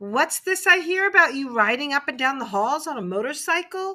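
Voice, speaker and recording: Speaking at a moderate pace, a woman uses a put-on character voice set high in her range. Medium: read story. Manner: blunt, hearty.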